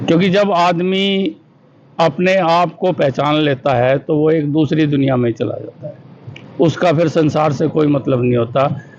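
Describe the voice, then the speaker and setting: With ordinary pitch variation, a man talks in a fairly high voice while noticeable background noise carries on. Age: 70s. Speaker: school director. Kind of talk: interview.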